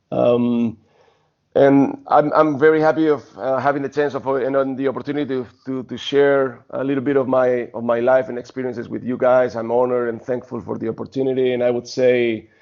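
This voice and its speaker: Speaking fairly quickly, a man of medium pitch keeps a monotone, flat intonation. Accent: Spanish. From Spain. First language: Spanish. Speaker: basketball coach and former pro player. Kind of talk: interview. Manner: halting.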